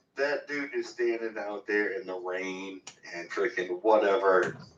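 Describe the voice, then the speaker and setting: Loud and at a very slow pace, a man speaks at a medium pitch. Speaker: caller on prospecting livestream. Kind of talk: casual livestream chat.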